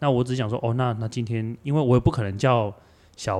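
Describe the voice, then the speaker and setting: A man with a Kaohsiung accent talks at a fairly quick pace and a medium pitch with ordinary pitch variation. The recording is very clean, with a silent background. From Taiwan, Kaohsiung. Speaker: visually impaired travel organizer and athlete. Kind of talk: casual chat.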